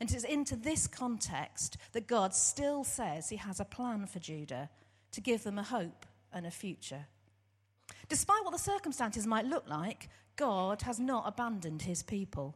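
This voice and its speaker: A woman with an English accent speaks at a moderate pace in a fairly high, somewhat breathy voice with very wide pitch swings. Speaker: church worker and theology student. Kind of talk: testimony. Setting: church service.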